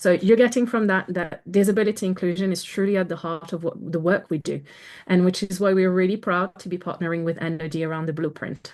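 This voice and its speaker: Against a quiet background, a woman with a French accent speaks very fast at medium pitch, her intonation fairly even. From France. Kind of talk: webinar presentation. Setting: video call.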